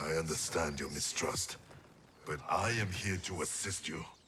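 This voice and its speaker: Using a put-on character voice, a man speaks at a very deep, low pitch and a moderate pace. His tone is solemn, over clear background noise. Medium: video game. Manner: terse, solemn.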